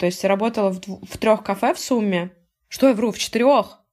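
A woman with a plain, everyday voice, fairly high in pitch, with ordinary pitch variation and a fairly quick pace. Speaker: podcast host. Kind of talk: casual chat.

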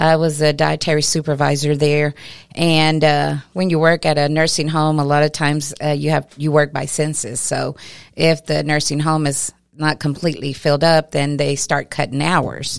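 The intonation is flat and monotone at a moderate pace. The recording is very clean, with a silent background. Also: woman, very deep, low pitch for a woman. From West Texas (Lamesa). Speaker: fleet and operations manager. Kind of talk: interview. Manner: hesitant, many fillers.

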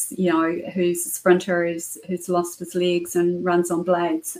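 The speaker has a New Zealand accent. The pace is fairly slow, with ordinary pitch variation. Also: woman. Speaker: cybersecurity entrepreneur. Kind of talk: interview.

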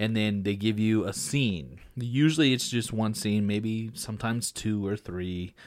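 A normal speaking voice with an American accent moves at a fairly slow pace with ordinary pitch variation, in a very clean recording with a silent background. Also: man, fairly low pitch for a man. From Texas Panhandle, Amarillo area. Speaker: podcast host, actor and editor. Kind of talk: casual chat.

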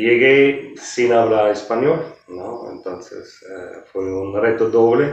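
Delivered at a very slow pace in a German accent, the speech shows big swings in loudness and ordinary pitch variation. Room echo is audible throughout. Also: man, medium pitch for a man. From Germany. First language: German (speaking Spanish). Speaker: hotel executive. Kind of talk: interview. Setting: hotel.

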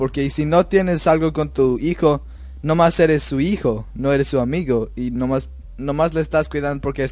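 This man talks with a non-native accent and a fairly high pitch. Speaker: host's son. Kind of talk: radio interview. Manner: halting.

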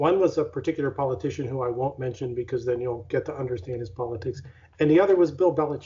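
A man's somewhat breathy, medium-pitched voice with an American accent, ordinary pitch variation and a very fast pace. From Pittsburgh, Pennsylvania. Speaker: university research executive, physicist. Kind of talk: interview.

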